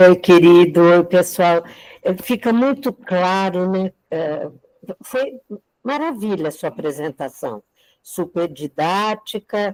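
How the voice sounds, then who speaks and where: At a very slow pace, a woman speaks with lively intonation at a medium pitch. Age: 70s. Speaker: teacher. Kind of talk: casual chat.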